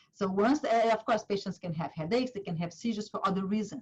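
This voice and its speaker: A somewhat breathy woman's voice at a medium pitch, with a Portuguese accent and ordinary pitch variation. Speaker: neurologist, clinic director. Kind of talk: medical webinar lecture. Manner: halting, many fillers.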